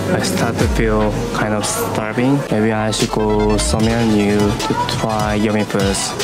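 A man takes a fairly slow pace while music plays behind him. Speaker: travel vlogger. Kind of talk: casual vlog chat. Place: cafe. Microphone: phone near.

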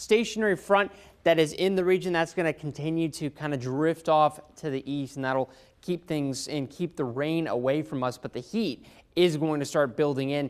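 A man's moderate-paced speech, with ordinary pitch variation, sits over a quiet background. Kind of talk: weather forecast presentation. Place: studio. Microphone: lapel.

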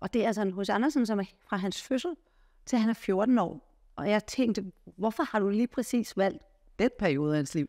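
Her voice is fairly high for a woman, with a dark, mellow tone. She speaks at a moderate pace against a quiet background. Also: lively intonation. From Denmark. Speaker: interviewer. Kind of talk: interview. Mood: warm, curious. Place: home room. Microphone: lapel.

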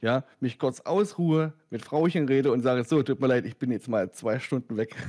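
A man at a fairly high pitch speaks at a moderate pace with lively intonation. The sound is dry and close with no echo, in a very clean recording with a silent background. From Lower Saxony, near Wolfsburg. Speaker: sim racing YouTuber. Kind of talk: casual chat. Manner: halting.

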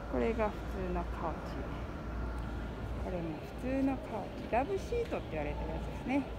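Over loud background noise, a woman speaks at a fairly quick pace. Her fairly high pitch moves in big swings.

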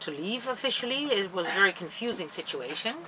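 Against light background noise, a woman speaks at a very fast pace. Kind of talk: interview answer. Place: boat.

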